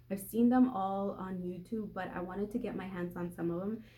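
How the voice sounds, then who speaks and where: A woman at a medium pitch talks at a fairly quick pace, somewhat breathy, with ordinary pitch variation. The room echo is audible. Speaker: lifestyle vlogger. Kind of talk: casual haul video.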